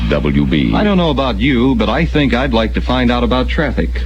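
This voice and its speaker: Music plays behind a man whose very deep, low voice moves at a fairly quick pace. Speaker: radio morning show host. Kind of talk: radio DJ banter, aircheck. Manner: casual, quick, joking.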